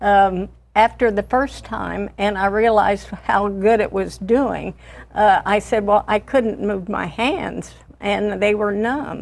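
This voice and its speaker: A woman talks at a very slow pace and a medium pitch. Her intonation is fairly even. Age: 80s+. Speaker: patient. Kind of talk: TV interview.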